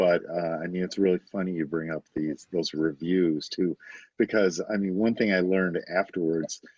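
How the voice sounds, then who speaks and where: A man with a Detroit accent, very deep and low in pitch, at a moderate pace. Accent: Inland North American (Detroit). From US Midwest, Detroit area, Michigan. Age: 60s. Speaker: novelist. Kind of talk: podcast interview. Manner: hesitant, many fillers.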